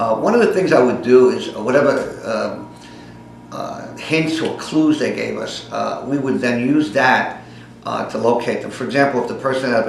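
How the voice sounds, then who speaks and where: Speaking in a New York accent, a man keeps a moderate pace at a medium pitch. Audible room echo and noticeable background noise are present. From New York City (the Bronx). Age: 60s. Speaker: private investigator. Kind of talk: casting pitch to camera. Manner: hesitant, many fillers.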